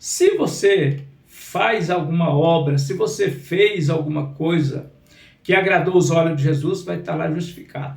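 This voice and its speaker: High male voice with fairly even intonation and audible room echo. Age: 60s. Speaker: pastor. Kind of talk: sermon. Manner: repetitive, emphatic.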